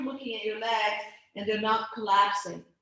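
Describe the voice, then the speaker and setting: A woman at a moderate pace, with audible room echo. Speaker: pilates instructor. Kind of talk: guided exercise class. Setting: video call. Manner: stuttering.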